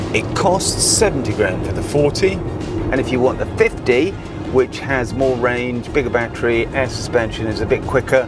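Clear music plays behind a man speaking at a moderate pace. His voice has ordinary pitch variation in a dry sound with no echo. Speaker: car reviewer. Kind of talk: car review commentary. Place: car. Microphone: lapel.

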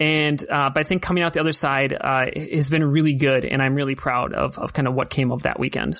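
An unremarkable speaking voice with an American accent talks at a fairly quick pace, with fairly even intonation and very even loudness. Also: man, fairly high pitch for a man. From United States. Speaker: tournament organizer and caster. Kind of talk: casual chat.

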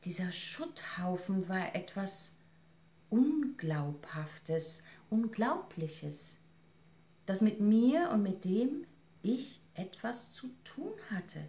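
A woman speaks in a solemn tone at a very slow pace, with long, frequent pauses and a somewhat breathy, dark, mellow sound. Her pitch sits in the middle of her range but swings very widely. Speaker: actress and reader. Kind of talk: literary audiobook reading, essay read aloud. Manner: measured, solemn, expressive reading with emotional weight. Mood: serious, reflective. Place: home room. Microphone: camera far.

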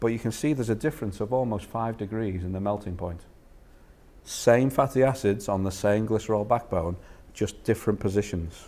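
A dark, mellow tone with a Liverpool accent. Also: man, fairly low pitch for a man, ordinary pitch variation, fairly quick pace. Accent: Liverpool (Scouse). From northern England, Liverpool. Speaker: food industry innovation manager; presenter. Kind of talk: lecture. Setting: stage with audience. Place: meeting room.

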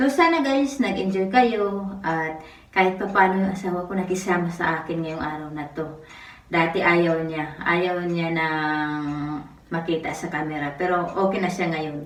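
Audible room echo surrounds a woman's fairly low voice, which has ordinary pitch variation. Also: moderate pace. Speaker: vlogger. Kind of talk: casual vlog narration.

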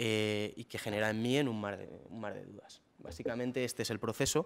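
This man's voice sits at a fairly low pitch. His intonation is fairly even. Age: 20s. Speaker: young entrepreneur, startup founder. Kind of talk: talk to an audience. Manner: hesitant, many fillers. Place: hall. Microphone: podium.

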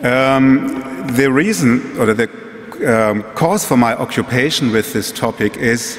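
A man with a German accent, fairly slow pace and ordinary pitch variation. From Germany. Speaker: museum executive. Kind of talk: lecture. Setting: stage with audience. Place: hall. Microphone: podium.

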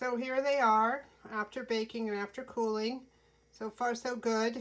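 A woman speaking at a moderate pace. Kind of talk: casual tutorial narration. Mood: pleased, relaxed. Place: kitchen. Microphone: phone near.

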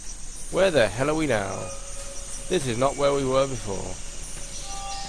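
Someone is reading aloud. The delivery is in a natural voice.

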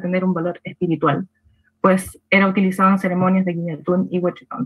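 Somewhat breathy woman in a Chilean accent, at a fairly quick pace, over a quiet background. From Temuco, Chile. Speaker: Mapuche researcher; presenter. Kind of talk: conference presentation. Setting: video call. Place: home room. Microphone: webcam.

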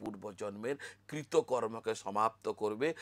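A man's voice comes through with a dry, close sound and no echo. The recording is very clean, with a silent background. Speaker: astrologer. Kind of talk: spiritual talk to camera.

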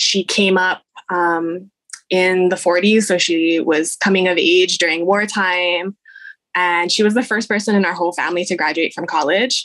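A woman with a Hawaiian accent, medium in pitch, her intonation fairly even. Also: moderate pace. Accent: Hawaiian American English. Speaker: family history researcher. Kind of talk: casual chat.

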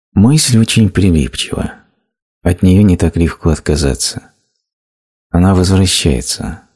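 A man's very deep, low, somewhat breathy voice with a dark, mellow tone, lively intonation and very even loudness, at a very slow pace with long, frequent pauses. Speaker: voice-over narrator of a translated spiritual talk. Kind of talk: reading aloud a translated spiritual lecture.

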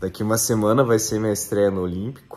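A man at a moderate pace with fairly even intonation, faint music in the background. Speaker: triathlete vlogger; amateur triathlete vlogger. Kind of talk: casual vlog narration. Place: home room. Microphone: webcam.

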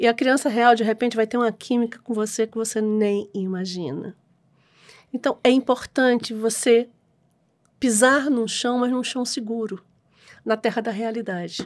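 A woman's fairly high voice at a moderate pace, fairly even in intonation, with long, frequent pauses and a quiet background. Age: 60s. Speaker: adoption lawyer; guest. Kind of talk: casual interview. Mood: warm, earnest, lightly humorous. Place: studio. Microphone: studio mic.

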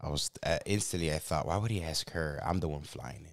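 A man with a Chicago accent against a quiet background. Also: dry sound with no echo. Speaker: YouTube podcast host. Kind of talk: casual chat. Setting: in a car. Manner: animated. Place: studio. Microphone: studio mic.

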